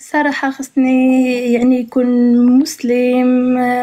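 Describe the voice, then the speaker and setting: The voice has a dark, mellow tone and a monotone, flat intonation. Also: woman. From Morocco. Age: 20s. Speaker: university student and hotel receptionist. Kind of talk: matchmaking show conversation.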